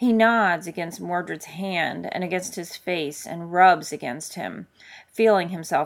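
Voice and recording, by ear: A passage is read aloud in a natural voice, its pitch varying in an ordinary way.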